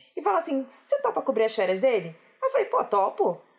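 A high-pitched woman with a Rio de Janeiro accent, at a fairly quick pace, with very wide pitch swings. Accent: carioca, noticeable. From Rio de Janeiro, Brazil. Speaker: software developer. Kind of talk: casual chat.

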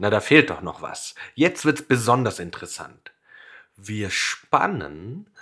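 The recording is very clean and the background silent. A man's voice carries a bright, sharp tone. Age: 20s. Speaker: children's music podcast host. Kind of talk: scripted narration for children.

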